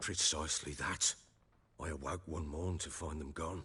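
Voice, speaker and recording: Putting on a raspy character voice, a man speaks at a moderate pace with a very deep, low pitch and monotone, flat intonation. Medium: video game. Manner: gruff, blunt.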